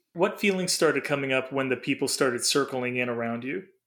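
Here a man speaks at a medium pitch with a bright, sharp tone. His pace is fairly quick. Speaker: podcast host and dream interpreter. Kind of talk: casual chat. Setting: remote call.

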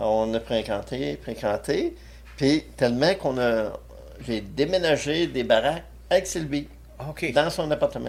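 This man speaks at a fairly slow pace. He leaves long, frequent pauses. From Quebec, Abitibi. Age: 60s. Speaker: war veteran. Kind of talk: casual interview.

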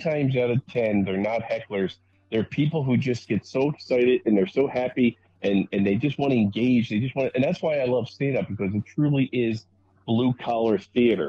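Medium pitch, a moderate pace and ordinary pitch variation from a man with a normal speaking voice. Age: 50s. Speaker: stand-up comedian. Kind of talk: casual chat.

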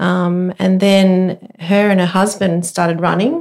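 Speaking in an Australian accent, the voice holds a monotone, flat intonation at a fairly slow pace. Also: woman. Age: 50s. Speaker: amateur runner. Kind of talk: casual chat.

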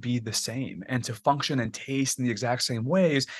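Male speaker at a moderate pace, dry and close with no echo, against a quiet background. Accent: American. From Texas. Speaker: biotech startup founder and CEO. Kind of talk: interview.

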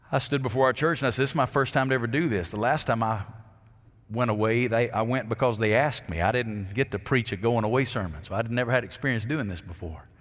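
The speaker talks at a very fast pace in an Alabama accent, with ordinary pitch variation. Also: man, medium pitch for a man. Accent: Southern US (Alabama). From US South, Alabama. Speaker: pastor. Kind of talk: sermon. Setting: church.

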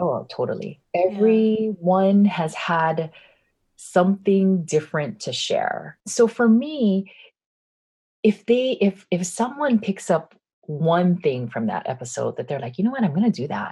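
A woman with an American accent and a medium pitch speaks at a fairly slow pace, somewhat breathy and dark, mellow in tone, against a quiet background. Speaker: business coach and podcaster. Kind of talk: interview conversation. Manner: projecting, not monotone.

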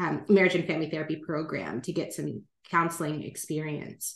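With an American accent, a woman speaks at a fairly quick pace in an ordinary speaking voice, her pitch fairly low. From California. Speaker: life planner and relationship coach. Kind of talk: interview conversation.

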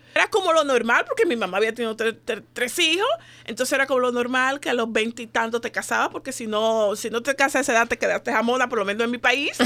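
A woman's high-pitched voice with a bright, sharp tone at a very fast pace. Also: ordinary pitch variation. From Dominican Republic. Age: 40s. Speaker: women's organization founder. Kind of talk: radio interview. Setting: studio.

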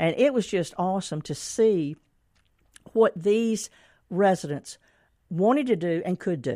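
Speaking at a fairly slow pace with long, frequent pauses, a woman with a Mississippi accent and medium pitch uses lively intonation on a very clean recording with a silent background. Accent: US Southern (Mississippi). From Mississippi (Canton). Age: 70s. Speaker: author and senior activity director. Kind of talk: book reading and interview.

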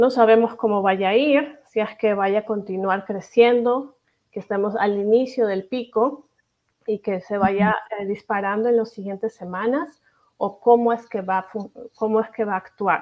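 A plain, everyday voice, its intonation fairly even. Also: woman, fairly high pitch for a woman. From Peru. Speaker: pediatric infectious disease doctor. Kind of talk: interview.

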